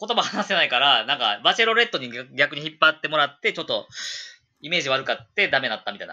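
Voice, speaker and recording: A man's bright, sharp tone with very wide pitch swings, on a very clean recording with a silent background. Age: 30s. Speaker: English school owner, former teacher. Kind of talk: casual chat.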